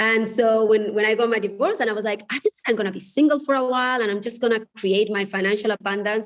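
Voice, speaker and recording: A woman's fairly high-pitched, very fast voice with fairly even intonation and a Spanish accent. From Spain. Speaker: divorce coach and author. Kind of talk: podcast interview.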